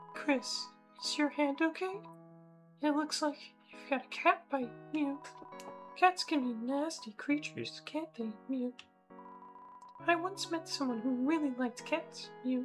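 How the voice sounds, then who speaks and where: A quiet, put-on character voice speaks at a high pitch and a fairly slow pace, with long, frequent pauses. Music plays clearly in the background. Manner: quiet, secretive.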